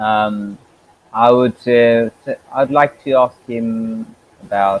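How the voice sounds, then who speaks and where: This speaker has a British accent and fairly even intonation. The pace is very slow. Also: man, medium pitch for a man. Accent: British-sounding English. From Bangladesh. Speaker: English teacher. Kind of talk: casual online conversation.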